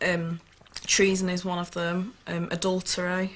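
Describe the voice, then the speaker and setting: A woman's fairly low voice in a Yorkshire accent, monotone and flat, at a fairly slow pace. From England, Sheffield area. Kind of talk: documentary interview.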